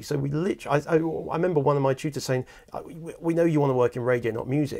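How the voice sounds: Vocal fry runs through a man's dark, mellow tone, set at medium pitch with ordinary pitch variation.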